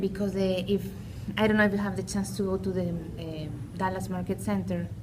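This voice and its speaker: A woman with a Peruvian accent talks at a fairly quick pace, with noticeable background noise and audible room echo. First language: Spanish. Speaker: small business owner. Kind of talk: casual chat.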